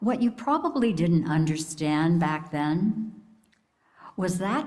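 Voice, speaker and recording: Amid audible room echo, a woman speaks in a fairly low, somewhat breathy voice with very wide pitch swings. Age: 70s. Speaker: lay speaker at church service. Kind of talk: sermon. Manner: warm, reflective.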